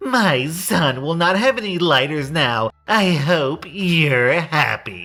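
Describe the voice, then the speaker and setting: In a put-on character voice, a man speaks very slowly with lively intonation and a fairly high pitch. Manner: furious, shouting.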